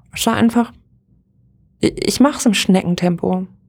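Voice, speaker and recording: Marked by vocal fry, a woman speaks at a medium pitch and moderate pace with ordinary pitch variation. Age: 30s. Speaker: podcaster and pastor. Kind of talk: casual solo podcast monologue. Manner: animated, frequent laughter.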